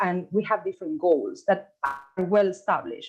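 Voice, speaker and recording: A woman with an Argentine accent at a moderate pace, her pitch swinging very widely. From Argentina. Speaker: gastroenterologist. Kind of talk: conference talk. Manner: halting.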